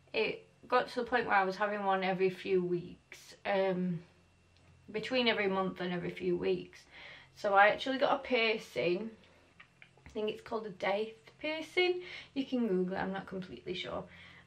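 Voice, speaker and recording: A woman with an English accent, medium pitch, ordinary pitch variation, a moderate pace and long, frequent pauses. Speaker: mummy vlogger. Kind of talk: casual vlog talk to camera. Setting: daughter's bedroom.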